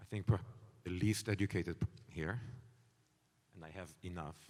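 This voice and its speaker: With a non-native accent, a man speaks very fast in a very deep, low voice with fairly even intonation. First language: not English. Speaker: company CEO, panelist. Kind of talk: panel discussion.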